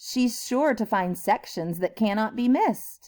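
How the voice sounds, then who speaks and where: In a very clean recording with a silent background, a woman speaks in a warm tone with ordinary pitch variation. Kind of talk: read-aloud storytime for young children. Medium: read story. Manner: warm, encouraging, expressive.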